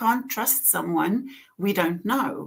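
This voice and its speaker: This woman has a strong Afrikaans accent and a medium pitch. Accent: heavy Afrikaans. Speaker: author and author coach. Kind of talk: casual chat. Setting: live stream video call.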